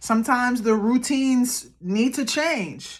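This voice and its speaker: Loud and animated in tone, a woman speaks at a high pitch. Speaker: tarot card reader and ancestral guidance practitioner. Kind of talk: pick-a-card tarot reading to camera. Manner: casual, animated, conversational.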